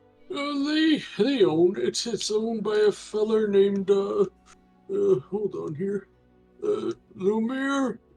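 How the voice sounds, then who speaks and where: Using a put-on character voice, a man speaks with a high pitch, lively intonation, and a very slow pace over faint music in the background. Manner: hesitant, thinking aloud.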